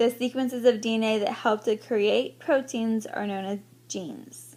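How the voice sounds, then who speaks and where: A woman with a fairly high pitch and a fairly slow pace. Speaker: teacher. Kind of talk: recorded lecture.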